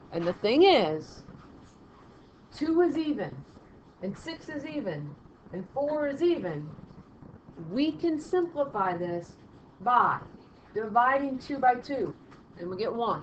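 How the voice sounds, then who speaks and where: A woman speaks in a high voice with very wide pitch swings and big jumps in loudness, leaving long, frequent pauses in a room with audible echo. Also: fairly slow pace. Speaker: math teacher. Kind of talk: lecture.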